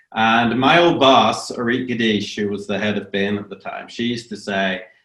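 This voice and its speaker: Speaking fairly slowly, a man is heard with audible room echo. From Northern Ireland. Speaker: business professor. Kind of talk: online lecture. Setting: video webinar. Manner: hesitant, many fillers.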